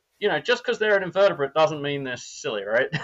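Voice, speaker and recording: This is a man speaking with an Australian accent. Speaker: neurobiologist. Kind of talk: casual interview.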